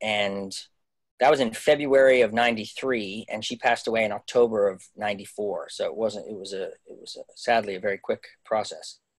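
The voice moves at a moderate pace with fairly even intonation but big swings in loudness. The sound is dry with no echo, against a quiet background. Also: man, medium pitch for a man. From Canada. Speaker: Broadway actor. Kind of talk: casual interview. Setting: video call. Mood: sombre, reflective. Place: home room. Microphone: video call.

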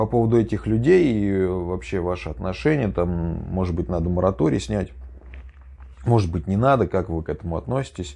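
This man's voice is very deep and low, with a dark, mellow tone. His intonation is lively. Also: moderate pace. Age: 30s. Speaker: YouTuber, former prisoner. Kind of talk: casual monologue storytelling. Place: home room.

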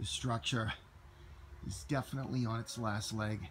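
This man's voice has vocal fry and ordinary pitch variation. He speaks at a moderate pace over light background noise. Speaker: explorer vlogger. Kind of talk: casual vlog chat. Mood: excited, a bit cautious. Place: forest. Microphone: phone near.

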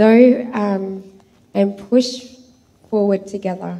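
Monotone and flat, a woman with an Australian accent speaks at a very slow pace. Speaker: church member giving testimony; speaker. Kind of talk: reading aloud a prophetic message; testimony. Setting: church. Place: church. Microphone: handheld.

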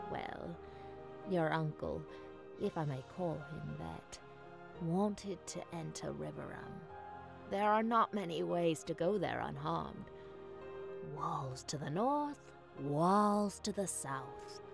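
A put-on character voice moves at a fairly slow pace with long, frequent pauses, while clear music plays in the background. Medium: game stream. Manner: brusque, self-assured.

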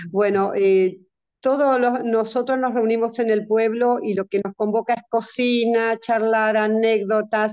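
Over a quiet background, a woman talks at a fairly slow pace with monotone, flat intonation. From Argentina, Entre Ríos; Argentina. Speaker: senior group leader. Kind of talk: workshop question. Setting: video call. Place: home room. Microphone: video call.

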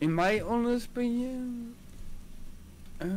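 A man's extremely high-pitched voice, slightly mellow in tone, with ordinary pitch variation and a slow pace.

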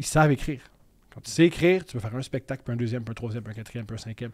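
A man speaks against a quiet background. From Quebec, Montreal. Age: 30s. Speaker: comedian. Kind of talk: casual chat. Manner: loud, intense. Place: studio. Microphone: studio mic.

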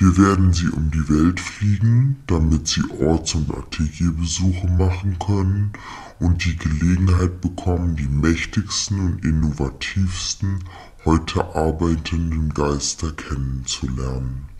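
Over light background noise, a man talks at a fairly slow pace in a very deep, low pitch. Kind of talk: formal official German speech. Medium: comedy sketch. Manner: polite, businesslike, matter-of-fact about no payment.

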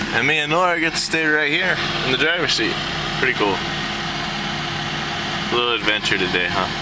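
A man keeps a moderate pace and ordinary pitch variation while loud background noise plays behind him. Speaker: road trip vlogger. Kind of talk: casual vlog chat. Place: car. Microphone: phone near.

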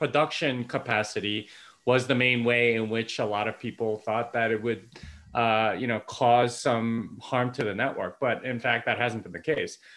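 A plain, everyday voice at a moderate pace. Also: man. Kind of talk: casual chat. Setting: video call. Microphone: video call.

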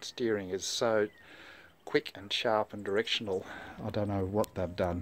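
This man has an ordinary speaking voice. His pitch is fairly low and his pace is moderate. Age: 60s. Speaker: amateur mountain bike rider. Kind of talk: casual product review to camera. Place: street. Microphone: phone near.

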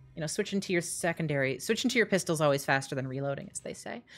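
A woman talks loudly at a very fast pace. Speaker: video game streamer. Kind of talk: live gameplay stream chat. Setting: home living room, echoey.

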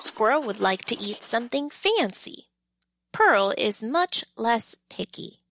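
The speaker reads aloud plainly while the background stays quiet.

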